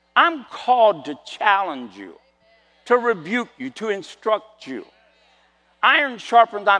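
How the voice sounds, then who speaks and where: A man speaks in a raised, projected voice with a high pitch. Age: 70s. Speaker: pastor. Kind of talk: sermon. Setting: church.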